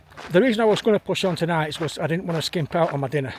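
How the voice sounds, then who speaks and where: Over noticeable background noise, a man with a fairly high pitch speaks at a very fast pace. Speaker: hiking vlogger. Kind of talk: vlog narration. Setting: outdoors. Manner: casual, rambling.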